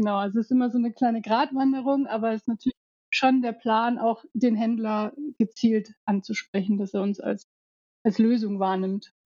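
Fairly level intonation in a woman's slightly breathy delivery. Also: fairly high pitch for a woman, moderate pace. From Alpine region. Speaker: head of marketing. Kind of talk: casual interview.

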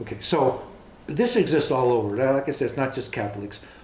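There is audible room echo as a man with an American accent talks at a fairly quick pace with ordinary pitch variation. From East Los Angeles, California. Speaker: grandfather interviewed about life and heritage. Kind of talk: casual interview, storytelling. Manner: talkative.

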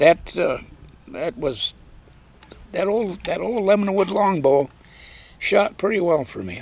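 With an American accent, a man speaks at a moderate pace, his high pitch swinging very widely. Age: 80s+. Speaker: veteran bowhunter and storyteller. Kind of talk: interview storytelling. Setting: live event recording.

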